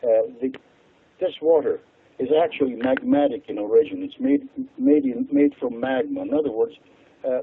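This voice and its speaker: A man speaks at a moderate pace with an Hungarian accent. His speech has long, frequent pauses. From Hungary. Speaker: water expert. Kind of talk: radio interview.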